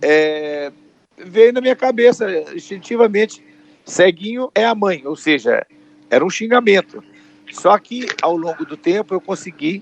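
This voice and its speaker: A man with a high voice speaks fairly slowly, leaving long, frequent pauses. His pitch swings very widely, and the sound is dry and close with no echo. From Brazil, Minas Gerais. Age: 60s. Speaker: comedian. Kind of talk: interview.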